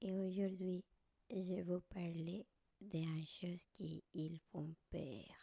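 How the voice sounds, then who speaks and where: Whispering at a very slow pace, a soft-spoken woman has a gentle, somewhat breathy tone with a dry, close sound and no echo. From Colombia. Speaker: Colombian living in France, vlogger / ASMR creator. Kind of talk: ASMR soft spoken storytelling, personal scary story. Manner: soft-spoken, gentle, whispery.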